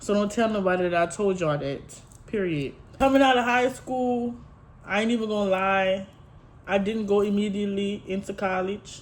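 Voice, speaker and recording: A woman talks in a medium pitch at a moderate pace, her pitch varying in an ordinary way. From Louisiana, Houma. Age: 20s. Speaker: lifestyle vlogger. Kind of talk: casual get-to-know-me vlog. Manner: chatty, informal.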